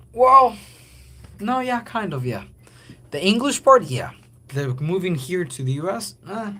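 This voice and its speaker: A man speaks in a raised, projected voice at a high pitch, with very wide pitch swings. His pace is fairly slow, broken by long, frequent pauses. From Guatemala. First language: Spanish. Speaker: livestreamer. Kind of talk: casual livestream chat. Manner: halting, many fillers and restarts.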